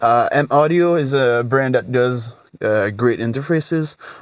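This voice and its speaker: In a French accent, a man talks with ordinary pitch variation. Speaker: guitar tone tutorial youtuber. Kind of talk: tutorial. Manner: hesitant, many fillers.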